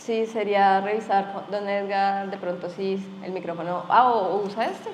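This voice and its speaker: Audible room echo surrounds a woman speaking at a medium pitch and a moderate pace, her intonation monotone and flat. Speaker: event moderator. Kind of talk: panel moderation.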